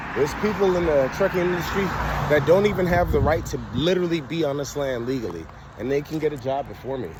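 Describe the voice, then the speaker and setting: At a very fast pace, a man with fairly high pitch and ordinary pitch variation speaks through audible room echo and noticeable background noise. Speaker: vlogger. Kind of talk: casual monologue. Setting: outdoors by a main road. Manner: loud; animated.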